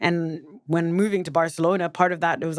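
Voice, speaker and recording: Pitched fairly low, a woman talks at a very fast pace. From southern Africa. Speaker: poet. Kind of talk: interview conversation. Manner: animated.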